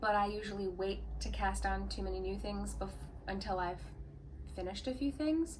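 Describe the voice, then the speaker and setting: A woman speaks at a moderate pace over noticeable background noise, with audible room echo. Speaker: yarn shop owner and knitwear designer podcaster. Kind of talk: casual podcast monologue.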